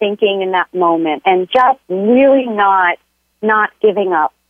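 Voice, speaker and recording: A woman at a moderate pace, a normal speaking voice. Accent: American. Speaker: occupational therapist and health coach. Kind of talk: interview conversation. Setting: phone call.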